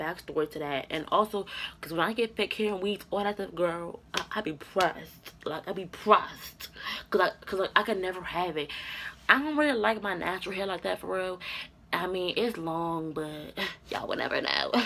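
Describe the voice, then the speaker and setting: A woman speaks at a moderate pace with ordinary pitch variation while music plays in the background. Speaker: YouTuber. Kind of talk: storytelling vlog. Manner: animated. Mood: exasperated storytelling. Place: home room. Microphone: webcam.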